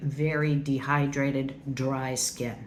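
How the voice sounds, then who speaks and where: Speaking at a very slow pace, a woman is heard with audible room echo around her. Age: 60s. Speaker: beauty YouTuber. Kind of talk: makeup product review. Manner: casual, chatty.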